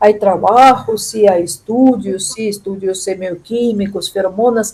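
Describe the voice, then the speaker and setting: The speech moves fairly slowly, in a non-native accent. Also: woman. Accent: foreign accent in Spanish. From Russia. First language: Russian (speaking Spanish). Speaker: chemistry professor and scientist. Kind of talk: interview. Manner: halting, with self-corrections.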